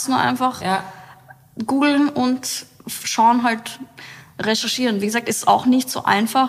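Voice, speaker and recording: Over noticeable background noise, a woman speaks at a fairly slow pace with ordinary pitch variation. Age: 30s. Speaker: company founder. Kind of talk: casual interview chat.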